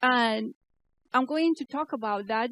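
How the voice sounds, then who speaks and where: A woman with a Spanish accent speaks at a very slow pace in a very clean recording with a silent background and a dry, close sound with no echo. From Spain. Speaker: keynote speaker, AI researcher and startup founder. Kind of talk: conference keynote. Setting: stage with audience. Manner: halting.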